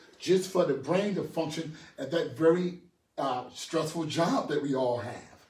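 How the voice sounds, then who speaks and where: A man with an animated tone and a fairly high pitch speaks with audible room echo. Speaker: personal trainer. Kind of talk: health seminar talk.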